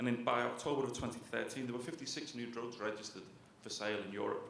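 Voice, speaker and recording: A man with a Liverpool accent talks at a fairly quick pace in a medium pitch, with audible room echo and noticeable background noise. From northern England, Liverpool. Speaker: author, journalist. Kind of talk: book talk lecture.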